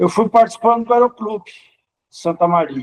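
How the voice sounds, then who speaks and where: The sound is dry and close, with no echo. A man speaks at a moderate pace in a high voice with lively intonation. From Sobradinho, Rio Grande do Sul, Brazil. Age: 60s. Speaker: pilot. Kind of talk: documentary interview.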